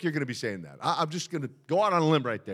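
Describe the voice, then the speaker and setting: On a very clean recording with a silent background, a man races along at a very fast pace in a bright, sharp tone. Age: 60s. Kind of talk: sermon. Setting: church. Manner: animated.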